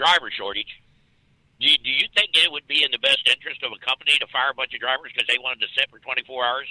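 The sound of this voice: A man's medium-pitched voice at a fast pace, with a bright, sharp tone and a dry, close sound with no echo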